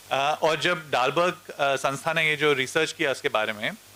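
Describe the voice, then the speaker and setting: Someone with a Mumbai accent speaks at a moderate pace over noticeable background noise. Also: man. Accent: Mumbai-style Hindi. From India, Mumbai. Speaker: educator. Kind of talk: panel discussion. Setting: stage with audience.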